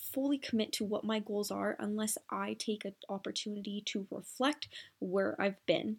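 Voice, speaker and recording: A woman talks at a moderate pace in an unremarkable speaking voice with a fairly high pitch. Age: 20s. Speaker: podcast host and fitness coach. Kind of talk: solo podcast monologue.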